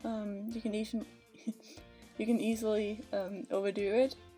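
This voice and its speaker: The speaker has a Danish accent and a moderate pace with fairly even intonation. Music plays in the background. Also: woman. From Denmark. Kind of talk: casual voiceover for a game speedbuild. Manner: hesitant, many fillers.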